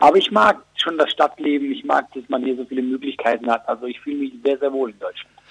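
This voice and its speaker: A man talks at a very fast pace with big swings in loudness. The sound is dry and close with no echo. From Switzerland. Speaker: comedian. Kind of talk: phone interview.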